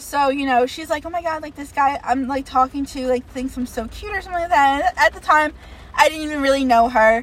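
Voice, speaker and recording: A woman talks at a fairly quick pace in a high pitch with ordinary pitch variation. Her loudness swings widely, and there is noticeable background noise. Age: 20s. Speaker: podcast co-host. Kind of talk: casual chat.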